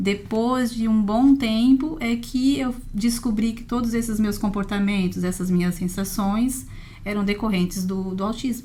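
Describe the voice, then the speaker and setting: A woman's fairly high voice with ordinary pitch variation at a fairly slow pace, with audible room echo. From Brazil, Santa Catarina (Imbituba). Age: 40s. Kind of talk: podcast interview.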